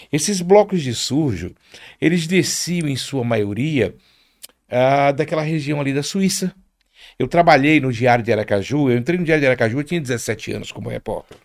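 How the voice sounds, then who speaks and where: A man talks in a normal speaking voice at a fairly high pitch and a moderate pace, with lively intonation. The recording is very clean, with a silent background. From Rio de Janeiro, Brazil (Penha). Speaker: carnival reveler and media personality. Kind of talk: casual chat. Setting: studio.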